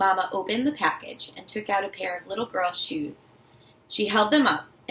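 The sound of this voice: An unforced reading voice comes through with lively intonation.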